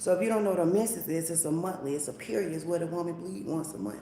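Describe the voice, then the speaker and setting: Over noticeable background noise and audible room echo, a woman speaks in a very deep, low voice. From Atlanta, Georgia. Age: 30s. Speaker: live streamer. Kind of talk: casual chat.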